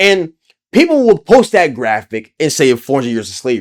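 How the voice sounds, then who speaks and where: A man speaks at a very fast pace in an animated tone. His pitch swings very widely. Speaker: YouTube commentator. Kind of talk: impassioned commentary rant.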